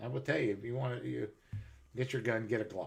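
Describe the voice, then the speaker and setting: A man's medium-pitched voice with vocal fry and lively intonation. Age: 60s. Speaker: live streamer, military veteran. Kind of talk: casual chat.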